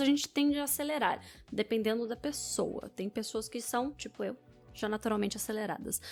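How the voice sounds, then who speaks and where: A woman talks at a very fast pace in an energetic tone with ordinary pitch variation. Music plays in the background. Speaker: public speaking coach. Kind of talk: video commentary.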